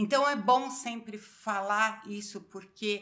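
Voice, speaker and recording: Her voice is fairly high, bright and sharp. The woman keeps her intonation fairly even. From Brazil. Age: 60s. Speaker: pastor. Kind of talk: casual interview chat.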